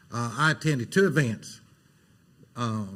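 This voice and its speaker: Somewhat breathy, a man with an Alabama accent speaks with lively intonation. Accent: Southern US (Alabama). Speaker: city council member. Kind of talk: council meeting remarks. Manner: fast.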